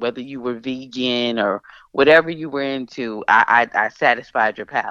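With a Philadelphia accent, a woman speaks in a very deep, low voice with a bright, sharp tone and ordinary pitch variation against a quiet background. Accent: Philadelphia-area American English. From suburbs of Philadelphia. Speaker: singer-songwriter and radio host. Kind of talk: casual interview.

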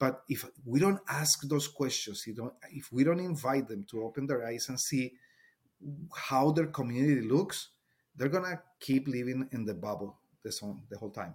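A man's somewhat breathy, medium-pitched voice with lively intonation and a Spanish accent, on a very clean recording with a silent background. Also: moderate pace. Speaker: Spanish teacher. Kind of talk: casual interview chat.

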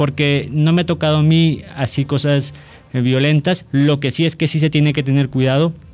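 Music plays in the background behind a man's fairly high voice. He keeps a moderate pace and fairly even intonation. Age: 20s. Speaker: law student. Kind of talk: casual chat.

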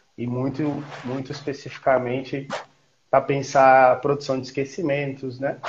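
Monotone, flat intonation from a man at medium pitch, moving at a moderate pace. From Piauí, Brazil (Campo Maior). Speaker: historian, researcher. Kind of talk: interview on a live stream. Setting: video call. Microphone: echo, audio feedback through his mic.

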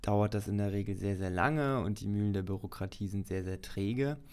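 A fairly low-pitched man at a moderate pace. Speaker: podcast host. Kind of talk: casual chat.

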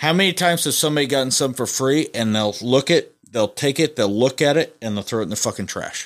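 On a very clean recording with a silent background, a man with an American accent speaks very fast with hardly any pauses, his medium pitch carrying lively intonation. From US Midwest, rural northeast Missouri. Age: 40s. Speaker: podcast host, auto shop owner. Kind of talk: casual chat. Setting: studio. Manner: animated.

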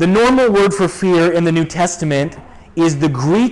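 Over noticeable background noise, a man speaks in a high pitch with lively intonation. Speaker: pastor. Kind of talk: sermon. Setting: church.

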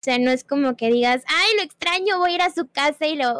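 A woman speaks at a moderate pace with ordinary pitch variation, her voice dry and close with no echo. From Puebla, Mexico. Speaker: streamer. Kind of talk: casual interview chat. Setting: video call.

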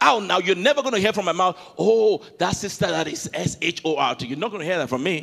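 Speaking very fast in a strong Nigerian accent, a man uses a high pitch, lively intonation and an animated tone. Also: hardly any pauses. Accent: Nigerian accent, thick. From Nigeria (Yoruba, Ijebu). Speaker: pastor. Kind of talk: sermon. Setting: church with congregation.

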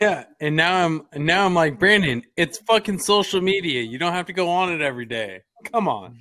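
A man talks at a moderate pace with lively intonation. His voice is high, bright and sharp. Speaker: podcast host. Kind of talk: casual banter. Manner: casual, rambling, profane.

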